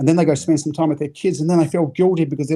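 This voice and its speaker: Speaking with a slight New Zealand accent, a man has a fairly high voice with a dark, mellow tone. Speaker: business coach. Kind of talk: podcast interview. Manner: animated, repetitive false starts.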